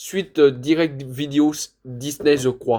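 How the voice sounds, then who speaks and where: A dark, mellow tone colors this voice. It belongs to a man. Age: 20s. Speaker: video collector reviewer. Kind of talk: casual collection showcase. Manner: loud; hesitant, many fillers.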